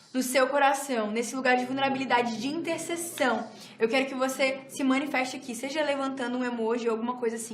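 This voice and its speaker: High-pitched female voice at a very fast pace, fairly even intonation, audible room echo and noticeable background noise. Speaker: church teacher. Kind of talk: lecture; prayer ministry.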